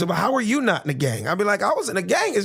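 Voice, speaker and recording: A man's speech comes through with noticeable background noise behind it. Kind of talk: conversational, comedic storytelling.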